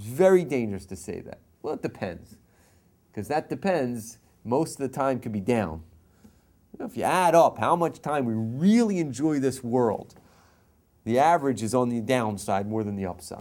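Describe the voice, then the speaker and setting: A man speaks at a medium pitch and a moderate pace, with long, frequent pauses. His pitch swings very widely and his loudness shifts in big swings. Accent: American. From US East Coast. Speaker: rabbi teaching Torah class. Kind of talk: lecture.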